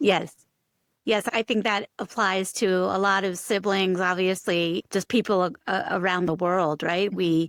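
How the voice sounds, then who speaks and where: Dry and close with no echo, a woman's unremarkable speaking voice comes at medium pitch and a fairly slow pace, with very even loudness. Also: fairly even intonation. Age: middle-aged. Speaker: physician and podcast host. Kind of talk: podcast interview.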